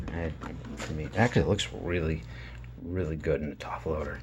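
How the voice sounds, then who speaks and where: With an American accent, a man talks at a moderate pace in a room with audible echo. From Massachusetts, South Shore. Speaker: sports card collector YouTuber. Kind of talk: casual card-opening commentary. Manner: careful, sometimes halting over names.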